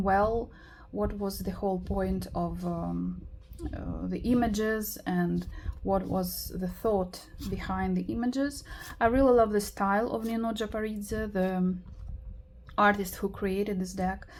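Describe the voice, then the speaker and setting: A woman speaks at a fairly slow pace with a non-native accent. Room echo can be heard. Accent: noticeable foreign. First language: not English. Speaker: tarot YouTuber. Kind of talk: casual video tutorial. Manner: hesitant, many fillers.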